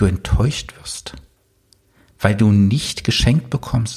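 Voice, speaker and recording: Somewhat breathy and very slow, a man speaks with lively intonation. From eastern Germany. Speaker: business coach and podcast host. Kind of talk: solo podcast monologue.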